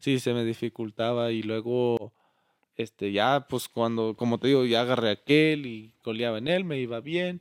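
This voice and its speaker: Here a man has an unremarkable speaking voice with ordinary pitch variation. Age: 20s. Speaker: charro, business owner. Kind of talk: interview.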